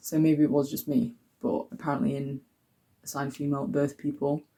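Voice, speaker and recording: The man's voice is fairly high in pitch yet dark and mellow in tone, somewhat breathy, at a moderate pace. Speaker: vlogger. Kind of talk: casual vlog talk. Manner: chatty, with fillers.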